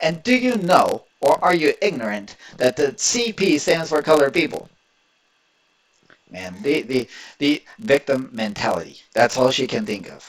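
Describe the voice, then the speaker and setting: Very wide pitch swings, vocal fry, big shifts in loudness and a fairly slow pace, in an American accent. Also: man, fairly high pitch for a man. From Indiana. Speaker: political commentator. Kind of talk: reaction video commentary. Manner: animated.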